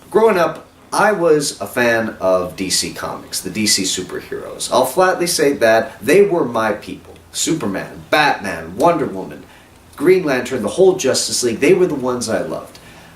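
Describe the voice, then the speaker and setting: Over noticeable background noise and audible room echo, a man speaks at a moderate pace in a fairly high pitch that swings very widely. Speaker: film reviewer. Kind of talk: video review. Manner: animated.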